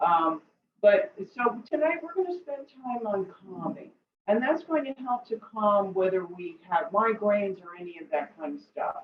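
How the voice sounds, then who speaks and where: Fairly high-pitched woman with a New Jersey accent, very wide pitch swings, big swings in loudness and a moderate pace. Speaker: tai chi and qigong instructor. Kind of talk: guided exercise class. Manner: casual, with many fillers.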